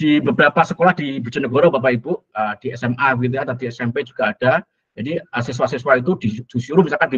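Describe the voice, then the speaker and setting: Speaking at a very fast pace, a man uses ordinary pitch variation. The background is quiet. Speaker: university lecturer. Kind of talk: lecture. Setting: video call. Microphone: video call.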